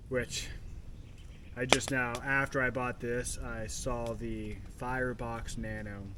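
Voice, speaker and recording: A man speaks in a relaxed tone. Noticeable background noise runs under his voice. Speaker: camping vlogger. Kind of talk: casual talk to camera. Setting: outdoors. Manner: rambling, relaxed.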